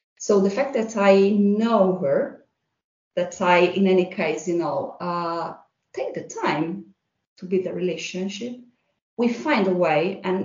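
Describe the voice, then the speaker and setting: Ordinary pitch variation and big swings in loudness come through with audible room echo. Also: woman. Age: 40s. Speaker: HR manager. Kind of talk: casual interview.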